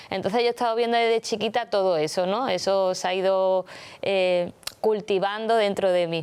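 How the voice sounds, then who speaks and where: A woman of medium pitch, with a plain, everyday voice, speaks at a moderate pace with fairly even intonation and very even loudness, in a very clean recording with a silent background. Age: 30s. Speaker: clothing customizer and show co-host. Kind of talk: casual chat.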